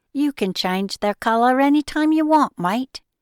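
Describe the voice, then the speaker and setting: Put on as a character, a female-sounding voice goes high in pitch at a moderate pace, recorded very cleanly against a silent background. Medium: read story.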